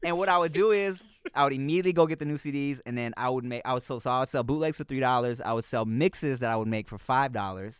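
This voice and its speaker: This man speaks very fast in an American accent, his pitch medium. His tone is animated and his intonation lively. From US West Coast, Long Beach. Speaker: actor and rapper. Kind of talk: casual chat.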